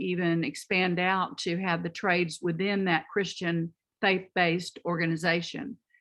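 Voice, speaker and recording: A woman with a Texas accent speaks at a moderate pace. Her pitch sits fairly low. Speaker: community training center worker. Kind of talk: audience comment in online conference. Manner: halting.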